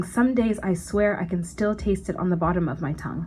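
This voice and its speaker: Somewhat breathy and medium in pitch, a woman speaks at a fairly quick pace with ordinary pitch variation amid audible room echo. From Canada, Ottawa. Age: 20s. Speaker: spoken word poet. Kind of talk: poetry performance. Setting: stage with audience.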